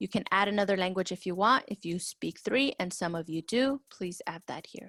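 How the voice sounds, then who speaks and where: A woman with a Spanish accent and ordinary pitch variation, in a dry, close sound with no echo. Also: medium pitch for a woman, moderate pace. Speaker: school counselor. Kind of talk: tutorial. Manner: casual, conversational.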